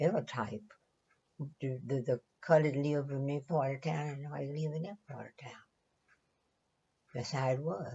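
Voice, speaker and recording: Speaking with an American accent, a woman with a very deep, low pitch sounds somewhat breathy, keeping a moderate pace with long, frequent pauses, ordinary pitch variation and big swings in loudness. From Louisiana, Southern US. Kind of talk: interview answer.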